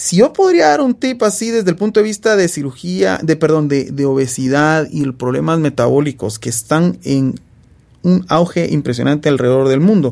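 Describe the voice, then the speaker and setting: At a moderate pace, a man speaks in a fairly high voice whose pitch swings very widely. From Guatemala. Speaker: surgeon. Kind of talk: casual interview.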